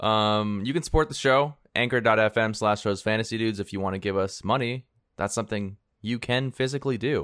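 A man at medium pitch has an unremarkable speaking voice. He moves at a fairly quick pace with fairly even intonation. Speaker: fantasy football podcast co-host. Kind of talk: casual chat. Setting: remote recording, hosts in different places.

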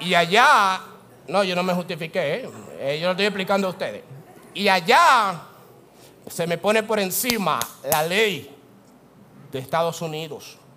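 With audible room echo, a man with a high voice speaks fairly slowly in a raised, projected, animated tone, his pitch varying in an ordinary way and his speech broken by long, frequent pauses. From Dominican Republic. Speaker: pastor. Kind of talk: sermon. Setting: church.

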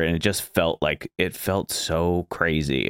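A man talks with an American accent. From Florida. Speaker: podcast host. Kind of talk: casual interview chat. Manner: laid-back, chatty, laughs often.

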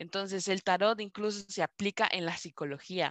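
With a Costa Rican accent, a woman speaks at a fairly slow pace in a medium-pitched voice with a bright, sharp tone and ordinary pitch variation, the sound dry and close with no echo and the background quiet. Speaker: podcast co-host, tarot reader. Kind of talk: casual chat.

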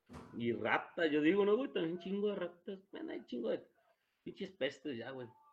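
A man talks at a moderate pace in a high voice with very wide pitch swings. His loudness shifts in big swings. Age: 30s. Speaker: podcast co-host. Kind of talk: casual chat. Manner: animated.

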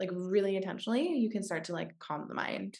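Racing at a very fast pace, a woman with a fairly low voice uses lively intonation and vocal fry. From US Pacific Northwest, Washington State. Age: 20s. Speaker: podcast host. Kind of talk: podcast interview.

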